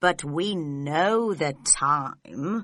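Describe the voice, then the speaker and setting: Putting on a character voice, a woman growls in a fairly low pitch with lively intonation. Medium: read story.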